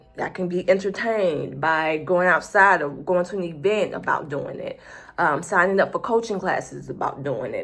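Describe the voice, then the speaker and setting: A woman speaks at a medium pitch in an American accent. Her tone is animated, with ordinary pitch variation. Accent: Southern US accent, noticeable at the moment. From US South. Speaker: YouTuber, planner and productivity channel. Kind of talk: casual talk to camera. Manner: animated, conversational.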